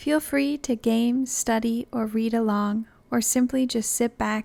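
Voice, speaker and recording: A woman talks in a calm tone at a fairly slow pace with fairly even intonation. The recording is very clean, with a silent background. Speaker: narrator. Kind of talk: casual host intro. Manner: calm, relaxing.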